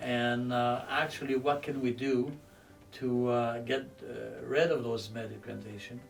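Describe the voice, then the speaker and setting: A man at medium pitch with monotone, flat intonation and a fairly slow pace, plus audible room echo and music in the background. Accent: Quebec. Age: 60s. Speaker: weight loss patient. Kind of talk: testimony. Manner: halting, many fillers and repeats.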